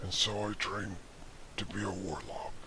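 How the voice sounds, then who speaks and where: Through loud background noise, a man speaks at a fairly low pitch. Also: moderate pace. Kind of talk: mock-epic fantasy storytelling. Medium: read story. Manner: earnest and dramatic with jokey asides.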